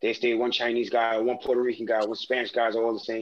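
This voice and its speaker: This is a man speaking. He has a New York accent. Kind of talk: casual chat. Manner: animated.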